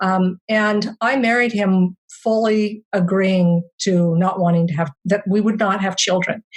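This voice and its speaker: Somewhat breathy speech at a fairly slow pace with fairly even intonation. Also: woman, medium pitch for a woman. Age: 60s. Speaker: memoir author. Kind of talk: interview. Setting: podcast interview. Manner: halting.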